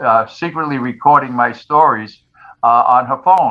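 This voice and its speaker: A man with a New York accent, medium pitch and ordinary pitch variation. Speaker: retired firefighter and author. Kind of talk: interview. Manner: halting.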